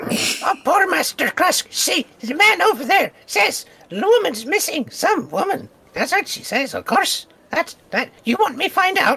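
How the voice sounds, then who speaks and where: In a put-on character voice, a man speaks at an extremely high pitch. His pace is moderate. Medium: actual play. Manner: broken speech, calls himself by name.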